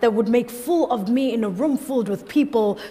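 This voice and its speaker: Over music in the background, a woman talks at a moderate pace with a high pitch and lively intonation. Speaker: slam poet. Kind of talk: slam poetry performance. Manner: charged, powerful. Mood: quiet, reflective near end. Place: stage. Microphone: headset.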